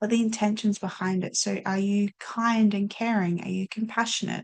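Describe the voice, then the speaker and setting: A woman speaks in a somewhat breathy voice of medium pitch. Her intonation is monotone and flat. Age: young. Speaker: life coach and podcast host. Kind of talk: casual chat.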